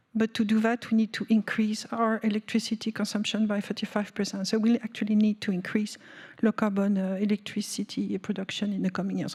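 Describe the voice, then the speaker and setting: A woman with a French accent and medium pitch, at a fairly quick pace, in a dry, close sound with no echo. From France. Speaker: energy policy panelist. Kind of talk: panel discussion. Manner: halting, many fillers.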